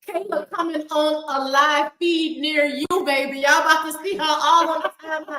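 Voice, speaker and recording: A woman with a Southern US accent speaks in a raised, projected voice, high-pitched and animated, with hardly any pauses. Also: moderate pace. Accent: Southern US, country. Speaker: live stream talk show host. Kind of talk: prayer; casual chat. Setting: live stream with comment section. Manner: loud.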